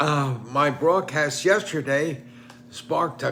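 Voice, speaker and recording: A man with a fairly high pitch at a very slow pace. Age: 90s. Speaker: retired professor and online commentator. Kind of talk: casual monologue commenting on newspaper. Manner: halting.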